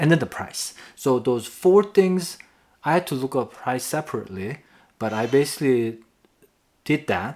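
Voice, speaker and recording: Someone with a non-native accent speaks at a moderate pace, with long, frequent pauses. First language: not English. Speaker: tennis video creator. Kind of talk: casual tutorial to camera. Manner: halting, with self-corrections.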